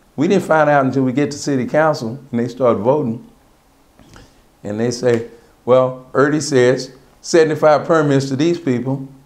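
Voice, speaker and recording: With an American accent and a medium pitch, a man talks at a moderate pace with fairly even intonation and long, frequent pauses, and audible room echo can be heard. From Texas, Austin. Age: 60s. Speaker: cab company owner. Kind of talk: oral history interview. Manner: conversational.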